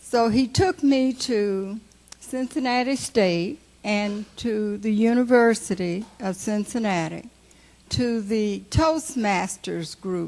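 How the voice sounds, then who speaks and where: Very slowly, a woman speaks with a fairly high pitch. Her pitch varies in an ordinary way. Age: 80s+. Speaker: health educator. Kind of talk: memorial speech. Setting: memorial service with audience.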